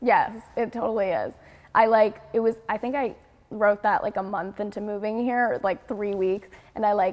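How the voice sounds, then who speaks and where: A woman with an American accent talks at a moderate pace in a fairly high voice. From New York. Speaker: singer-songwriter. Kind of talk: interview. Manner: animated.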